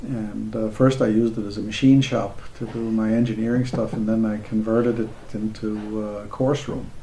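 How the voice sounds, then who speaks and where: Light background noise sits under a man speaking at a moderate pace in a flat monotone. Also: hardly any pauses. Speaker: co-founder of the organization; interviewee. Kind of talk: oral-history interview.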